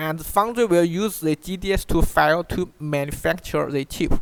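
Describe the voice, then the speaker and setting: A man's high voice in a Chinese accent, fairly slow, with ordinary pitch variation. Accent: Chinese accent, notable. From China. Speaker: online course instructor. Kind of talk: tutorial. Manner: halting, frequent self-repeats.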